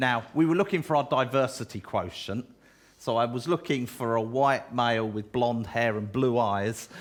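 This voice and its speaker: A man's medium-pitched voice with a southeast English accent, at a moderate pace. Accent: south-east English. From England, Kent (Chatham). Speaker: pastor. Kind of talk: church talk interview.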